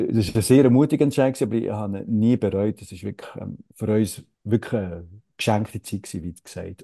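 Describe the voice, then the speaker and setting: A man speaks at a fairly quick pace in a dark, mellow tone, his fairly low pitch showing ordinary variation. His loudness swings widely, and the sound is dry and close with no echo against a quiet background. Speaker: actor and satirist. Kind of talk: interview conversation. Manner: halting, many fillers.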